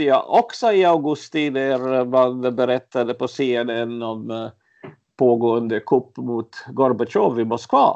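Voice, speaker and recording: Moving at a very slow pace, a man speaks with fairly even intonation. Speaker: journalist, eyewitness. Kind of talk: interview, personal recollection. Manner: halting, many fillers and repetitions.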